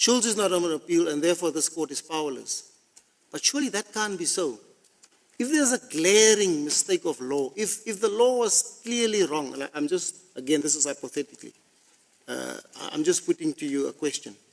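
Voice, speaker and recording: With a South African accent, a man speaks at a fairly quick pace, his pitch high and his intonation lively. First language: Afrikaans. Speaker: constitutional court judge. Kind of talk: court hearing questioning.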